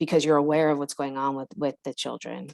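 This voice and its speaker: A woman with an American accent is heard in a dry, close sound with no echo. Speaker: workshop trainer. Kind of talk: online training session. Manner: fast.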